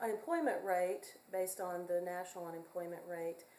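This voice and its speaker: In a North Carolina accent, a woman speaks at a medium pitch with monotone, flat intonation, and audible room echo surrounds her voice. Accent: US Southern (North Carolina). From North Carolina, Hickory. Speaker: community college music teacher. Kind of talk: self-introduction video. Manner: halting, many fillers.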